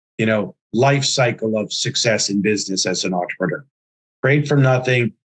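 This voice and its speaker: Here a man with an unremarkable speaking voice talks at a moderate pace and a medium pitch. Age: 60s. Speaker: entrepreneur and investment firm founder. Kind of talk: interview.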